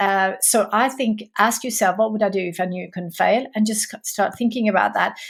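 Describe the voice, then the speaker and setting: In a very clean recording with a silent background, a woman speaks somewhat breathily in a fairly high pitch with ordinary pitch variation. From Sweden. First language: Swedish. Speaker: entrepreneur. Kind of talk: interview.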